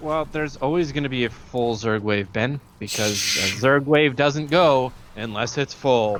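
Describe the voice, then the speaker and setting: Against noticeable background noise, a man speaks at a fairly slow pace with hardly any pauses, at medium pitch with ordinary pitch variation. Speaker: esports caster. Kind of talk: live commentary. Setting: live stream.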